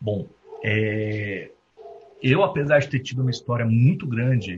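Lively intonation at a fairly slow pace, somewhat breathy. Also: man. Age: 30s. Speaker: recruiter and company founder. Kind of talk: guest talk at university event.

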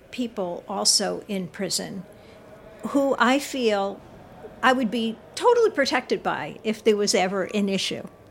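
A woman speaks at a fairly high pitch with ordinary pitch variation and a moderate pace. Noticeable background noise is present. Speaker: author and counselor. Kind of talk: interview.

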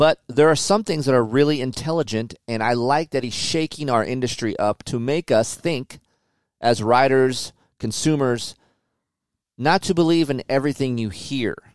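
An animated man at a medium pitch and a moderate pace, with ordinary pitch variation, in a very clean recording with a silent background and a dry, close sound with no echo. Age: 40s. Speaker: motocross podcast host and former magazine test rider. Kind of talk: casual chat.

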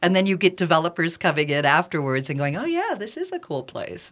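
A woman with an American accent, at a fairly quick clip. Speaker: radio host. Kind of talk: interview. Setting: studio.

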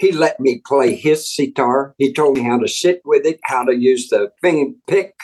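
His pitch swings very widely. The man speaks with an American accent. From Texas, Fort Worth. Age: 70s. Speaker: songwriter and guitarist. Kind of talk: interview.

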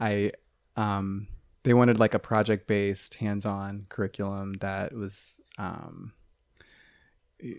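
A man with a Midwestern American accent speaks fairly slowly in a fairly low pitch on a very clean recording with a silent background. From rural Ohio. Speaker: math teacher. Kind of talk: casual chat. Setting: studio.

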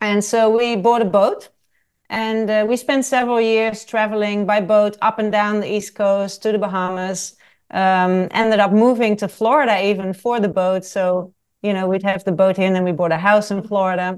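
Against a quiet background, a woman in a Dutch accent speaks at a moderate pace, medium pitch and fairly even intonation. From Netherlands. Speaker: travel writer and photographer. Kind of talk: interview.

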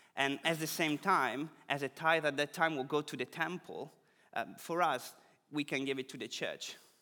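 In a very clean recording with a silent background, a man with an Italian accent speaks at a moderate pace in a fairly high pitch with a bright, sharp tone. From Italy. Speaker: preacher. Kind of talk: sermon.

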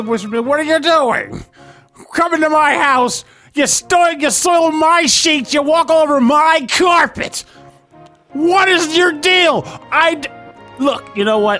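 Using a high, put-on character voice, the speaker goes fairly slowly with long, frequent pauses as faint music plays in the background. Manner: whiny, exasperated, sitcom-like.

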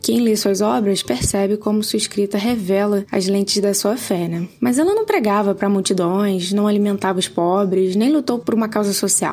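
A woman at a medium pitch speaks at a moderate pace with hardly any pauses, very even loudness and ordinary pitch variation, against noticeable background noise. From Pernambuco, Brazil. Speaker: podcast listener. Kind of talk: recorded listener testimonial.

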